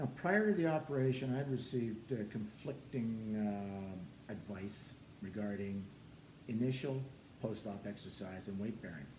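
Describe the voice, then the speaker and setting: Audible room echo surrounds this voice. It belongs to a man speaking at a medium pitch. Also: ordinary pitch variation, moderate pace. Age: 70s. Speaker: personal trainer and former soldier. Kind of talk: testimony.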